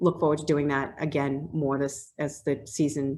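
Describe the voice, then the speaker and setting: A woman's very deep, low voice in a Boston accent, fairly even in intonation, over a quiet background. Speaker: HR business development manager presenting a grant program. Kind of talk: webinar presentation with Q&A. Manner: fast.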